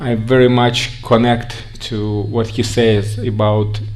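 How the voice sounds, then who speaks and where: A man's fairly low, monotone voice with flat intonation, a Russian accent and audible room echo. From Russia, Siberia. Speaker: organization representative speaking on immigration to Israel. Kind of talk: conference talk.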